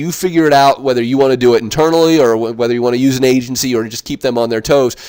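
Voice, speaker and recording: This man's voice sits at a medium pitch and moves with ordinary pitch variation. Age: 40s. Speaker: digital marketing consultant. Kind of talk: webinar presentation. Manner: fast.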